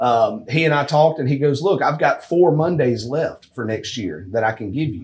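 A man's somewhat breathy, fairly high-pitched voice at a moderate pace. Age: 30s. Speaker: amateur golf tour director. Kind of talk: casual chat. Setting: golf simulator room.

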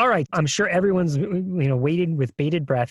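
A man's normal speaking voice, fairly high-pitched with ordinary pitch variation, in a very clean, dry, close recording with no echo and a silent background. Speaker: podcast co-host. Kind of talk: casual chat.

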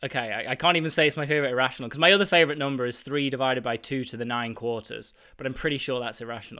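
On a very clean recording with a silent background, a man speaks at a very fast pace. His fairly high voice has a bright, sharp tone. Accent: British. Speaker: mathematician and university teacher. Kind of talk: casual interview. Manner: enthusiastic, animated.

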